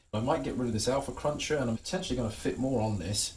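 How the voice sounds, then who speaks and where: A man speaks with an American accent. Noticeable background noise and audible room echo are present. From England. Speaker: hobbyist guitarist and YouTuber. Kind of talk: tutorial. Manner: casual, halting with fillers and repeats.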